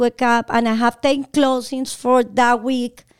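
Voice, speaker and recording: In a Colombian accent, a high-voiced woman speaks at a moderate pace in a dry, close sound with no echo. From Bogotá, Colombia. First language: Spanish. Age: 40s. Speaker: realtor and entrepreneur. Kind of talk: casual interview. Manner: high energy.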